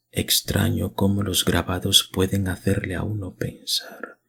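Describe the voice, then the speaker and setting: A man's put-on character voice, whispering, hoarse and soft-spoken at a fairly slow pace. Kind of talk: archaic rural speech. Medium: read story. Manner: flattering, rambling, feverish.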